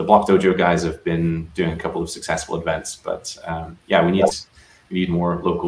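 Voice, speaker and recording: A man speaks with a Scottish accent at a fairly quick pace. His loudness swings widely. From Scotland (Aberdeenshire, north-east). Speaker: software engineer. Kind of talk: casual interview chat.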